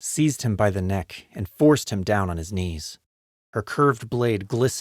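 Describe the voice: In plain reading aloud with lively intonation, the voice comes through over a quiet background.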